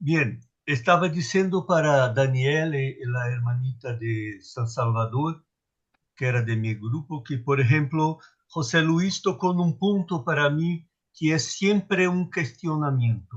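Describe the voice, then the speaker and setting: Against a quiet background, a somewhat breathy man with a Portuguese accent and a fairly high pitch speaks at a very slow pace with lively intonation. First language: Portuguese (speaking Spanish). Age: old. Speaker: retreat participant. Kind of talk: group sharing.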